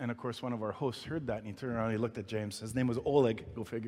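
Here a man talks at a very fast pace. His pitch is medium. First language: not English. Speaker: pastor. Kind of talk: sermon. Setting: church. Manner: halting.

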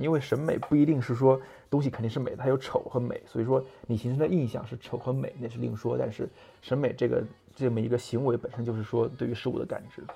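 A man at medium pitch talking at a very fast pace. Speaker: podcast host, car designer. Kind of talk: solo monologue on design. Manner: hesitant, many fillers.

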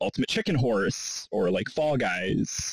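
With a normal speaking voice, a man talks at a moderate pace and medium pitch, the sound dry and close with no echo. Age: 30s. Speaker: podcast host. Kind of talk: interview.

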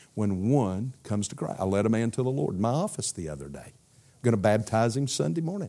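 A dark, mellow tone in a Southern US accent, very fast pace, very wide pitch swings, and a very clean recording with a silent background. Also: man, fairly low pitch for a man. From US South, South Carolina. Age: 60s. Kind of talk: sermon. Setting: church. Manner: animated.

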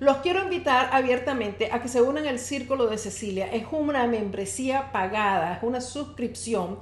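With lively intonation and an animated tone, a woman speaks at a moderate pace in a high pitch with hardly any pauses, and the room echo is audible. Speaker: health podcast host and wellness coach. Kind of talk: live-streamed solo podcast talk. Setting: live stream.

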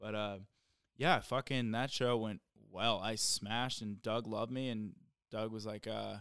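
On a very clean recording with a silent background, a man speaks at a medium pitch. His pace is moderate and his intonation fairly even. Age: 30s. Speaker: stand-up comedian. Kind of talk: casual chat.

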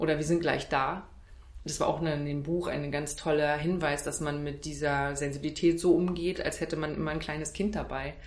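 A woman speaks at a moderate pace with a very deep, low pitch and monotone, flat intonation. Audible room echo surrounds her voice. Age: 30s. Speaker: wedding speaker and cabaret artist. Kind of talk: casual interview.

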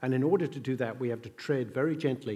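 Here a man talks at a fairly quick pace with an Australian accent. His pitch is medium with ordinary variation. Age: 60s. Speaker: event host and interviewer. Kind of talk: onstage interview. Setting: stage with audience.

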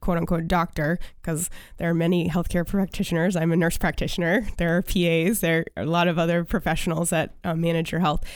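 In a very clean recording with a silent background, a woman speaks at a moderate pace in an ordinary speaking voice, her pitch fairly low and her intonation fairly even. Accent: American. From US Northeast, Maine. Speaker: functional medicine practitioner. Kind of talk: interview.

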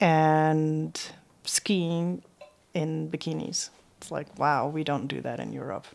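Talking very slowly, a woman with a Slovenian accent uses a very deep, low pitch with ordinary pitch variation. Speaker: author and adventure cyclist. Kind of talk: interview.

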